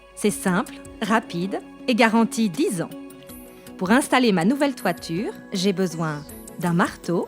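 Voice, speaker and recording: A woman speaks at a very slow pace, her pitch swinging very widely. Music plays in the background. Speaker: voice actor. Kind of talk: DIY tutorial narration.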